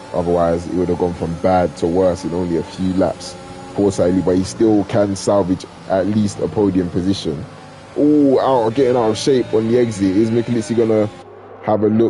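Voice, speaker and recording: With noticeable background noise behind him, a man talks in a very deep, low pitch. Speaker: sim racing league commentator. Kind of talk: live commentary. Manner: animated.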